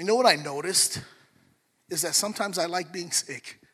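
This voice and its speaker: A man speaks at a moderate pace. His voice sits high in pitch. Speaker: pastor. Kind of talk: sermon. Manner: animated.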